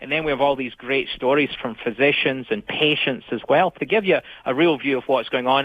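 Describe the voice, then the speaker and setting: Speaking at a fairly quick pace, a man with a Scottish accent has a fairly high pitch and ordinary pitch variation. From Scotland. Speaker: filmmaker. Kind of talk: radio interview.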